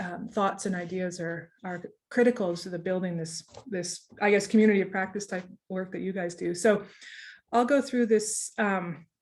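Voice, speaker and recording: A woman with a Canadian accent speaks at a medium pitch with fairly even intonation. Her loudness swings widely. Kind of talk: online presentation. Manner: fast; hesitant, many fillers.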